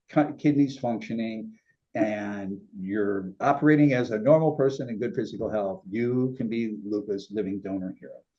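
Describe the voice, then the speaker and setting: A man speaks at a moderate pace with a medium pitch. He has an unremarkable speaking voice. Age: 60s. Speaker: talk show host and kidney donor. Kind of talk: interview.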